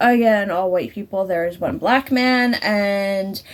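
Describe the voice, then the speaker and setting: A woman is speaking. Background noise is clearly audible behind her. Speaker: movie reviewer. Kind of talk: casual movie review monologue. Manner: halting, many fillers.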